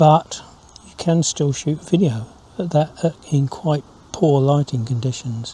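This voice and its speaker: With a dark, mellow tone, this man speaks in a fairly high voice. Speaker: wildlife photographer. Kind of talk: casual to-camera vlog. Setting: outdoors in a hide. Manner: quiet, hushed.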